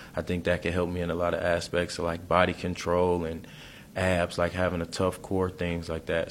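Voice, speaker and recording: A man with an American accent speaks at a fairly quick pace in a very deep, low voice, his intonation monotone and flat. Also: very clean recording, silent background. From Detroit, Michigan. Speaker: college football player. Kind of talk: interview.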